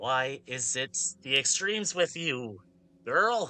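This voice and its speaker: A man performs a put-on character voice at medium pitch, fairly slowly, with very wide pitch swings. The background is quiet. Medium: actual play. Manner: dry, teasing.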